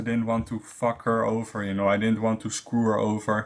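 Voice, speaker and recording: In a very clean recording with a silent background, a man speaks at medium pitch and a fairly quick pace. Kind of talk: casual chat. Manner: loud; halting.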